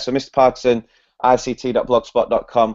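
A Mancunian accent over a quiet background. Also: man. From northern England. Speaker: primary school teacher. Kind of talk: educational presentation. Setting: video call. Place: home room. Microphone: video call.

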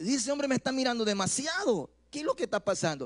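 Against a quiet background, a man talks at a very fast pace with an extremely high pitch, an animated tone and ordinary pitch variation. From Ecuador. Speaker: pastor. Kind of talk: sermon. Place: church. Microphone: handheld.

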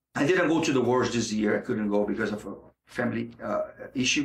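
Vocal fry and a fairly quick pace, with a Portuguese accent. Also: man. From Brazil, Rio de Janeiro. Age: 40s. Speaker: jiu-jitsu instructor and fighter. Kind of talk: interview.

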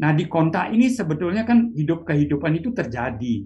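A man speaks at a moderate pace in a somewhat breathy voice with very wide pitch swings, over light background noise. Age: 60s. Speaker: meditation teacher; meditation teacher, guest. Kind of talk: interview. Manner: halting. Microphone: video call.

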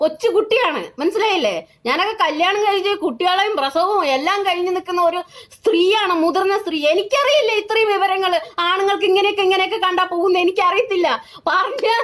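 A woman speaks with an extremely high pitch and an animated tone. Her loudness stays very even, with ordinary pitch variation. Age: 30s. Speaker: social media commentator. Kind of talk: live video rant. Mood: indignant, emphatic. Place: home room. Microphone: phone near.

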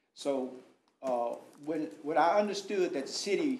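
A man's fairly high voice moves through very wide pitch swings. Room echo is audible. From Texas. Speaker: pastor and contractor; pastor, contractor. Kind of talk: public comment at council meeting. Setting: city council chamber. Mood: earnest, explaining himself. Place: meeting room. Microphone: podium.

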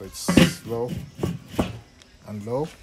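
A man speaks against loud background noise. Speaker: home cook vlogger. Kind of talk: casual cooking tutorial. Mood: relaxed, upbeat. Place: garden. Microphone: phone near.

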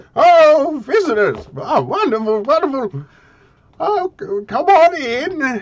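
A put-on character voice at a high pitch talks at a fairly slow pace. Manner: eager, welcoming.

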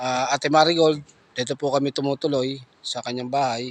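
The speaker is a man. His pitch is fairly high. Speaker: vlogger. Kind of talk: casual vlog narration.

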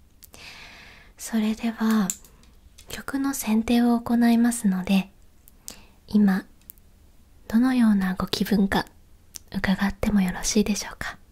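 Against a quiet background, a soft-spoken woman talks very slowly with fairly even intonation. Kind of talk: polite role-play customer service talk. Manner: soft, close ASMR speech.

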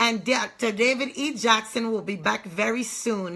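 Against a quiet background, the speaker uses a bright, sharp tone at a fairly slow pace with ordinary pitch variation. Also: woman. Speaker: online ministry host. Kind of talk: sermon introduction and prayer. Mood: fervent, prayerful. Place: home room. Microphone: phone near.

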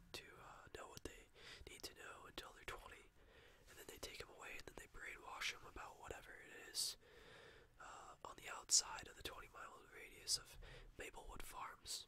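Whispering at a moderate pace, a man speaks. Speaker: storyteller. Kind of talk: casual vlog chat. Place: home room. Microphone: webcam.

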